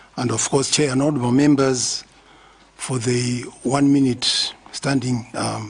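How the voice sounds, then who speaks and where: Noticeable background noise runs behind a man who speaks at a medium pitch and a fairly slow pace, his intonation monotone and flat. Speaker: military officer testifying. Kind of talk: formal testimony. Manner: formal.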